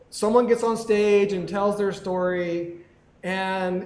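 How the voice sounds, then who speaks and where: A high-pitched man's voice at a fairly slow pace with ordinary pitch variation, carrying audible room echo. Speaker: podcast co-host. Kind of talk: live podcast chat. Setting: live recording with audience at a venue. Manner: mumbling.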